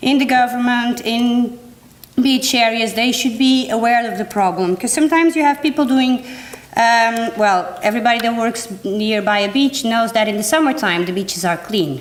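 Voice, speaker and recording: This speaker has a non-native accent and a moderate pace, keeping the loudness very even and the pitch variation ordinary. Noticeable background noise can be heard. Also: woman, fairly high pitch for a woman. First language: not English. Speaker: environmental educator. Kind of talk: workshop presentation. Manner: halting.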